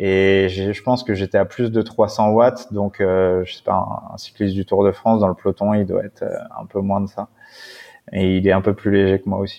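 Monotone, flat intonation marks this man's fairly low voice. He talks at a moderate pace. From Paris suburbs (Seine-Saint-Denis). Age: 30s. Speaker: adventurer and endurance cyclist. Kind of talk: casual interview.

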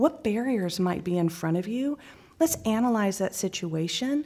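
With an American accent, this voice carries a dark, mellow tone, lively intonation and a somewhat breathy quality. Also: woman. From Texas (Midland, Irving near Dallas). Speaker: gifted education professor and school head. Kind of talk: interview conversation. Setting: conference venue.

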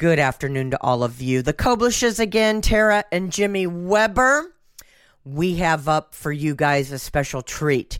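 With an American accent, a woman speaks at a fairly slow pace and fairly low pitch, her pitch swinging very widely. The recording is very clean with a silent background. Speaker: radio host. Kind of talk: radio show hosting. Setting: radio studio. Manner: casual, some filler hesitations.

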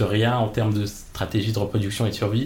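Somewhat breathy and medium in pitch, a man talks at a fairly quick pace with fairly even intonation in a room with audible echo. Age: 20s. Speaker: podcast guest. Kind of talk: personal interview.

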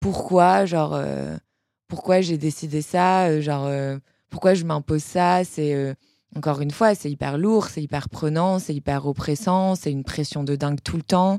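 A woman's very deep, low voice with a dark, mellow tone, a fairly slow pace and ordinary pitch variation, in dry, close sound with no echo. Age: 20s. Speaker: entrepreneur, cosmetics brand founder. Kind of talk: casual interview. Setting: studio.

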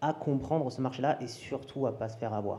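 This man's voice has a dark, mellow tone, sounds somewhat breathy and shows ordinary pitch variation. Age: 30s. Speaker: crypto and new tech coach, business owner. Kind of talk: casual chat. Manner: animated.

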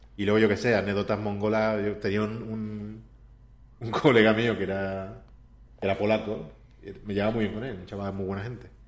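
A man's fairly low voice at a moderate pace, monotone and flat, with long, frequent pauses and audible room echo. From Andalusia, Spain (Seville). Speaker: video game character artist. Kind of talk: casual interview.

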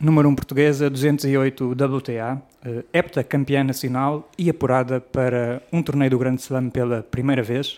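Speaking at a fairly slow pace with hardly any pauses, a man holds a medium pitch in a monotone, flat intonation. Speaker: podcast host. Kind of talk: podcast interview.

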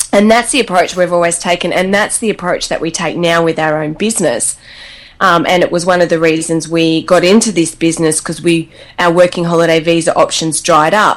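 A woman speaks with an Australian accent at a fairly low pitch. Her intonation is fairly even. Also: fairly quick pace. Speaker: travel blogger. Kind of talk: casual interview chat.

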